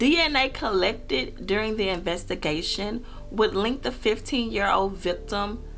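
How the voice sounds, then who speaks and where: Music plays in the background as a woman speaks at a medium pitch and a fairly slow pace. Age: 20s. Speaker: true crime YouTuber. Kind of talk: true crime storytelling to camera.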